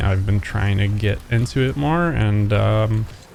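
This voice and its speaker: A man's fairly low-pitched voice with ordinary pitch variation, at a fairly slow pace, over noticeable background noise. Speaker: gaming youtuber. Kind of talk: tutorial.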